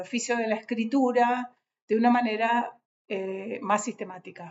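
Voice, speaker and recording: This woman talks in a high pitch. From Argentina, Patagonia (Bariloche). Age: 60s. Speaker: writer. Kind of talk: casual talk to an audience. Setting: on a trip in a city. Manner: halting, many fillers.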